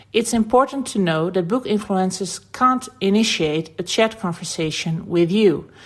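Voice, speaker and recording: A woman with a Dutch accent, medium in pitch, with ordinary pitch variation at a fairly slow pace. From Netherlands. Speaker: website founder. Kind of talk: tutorial.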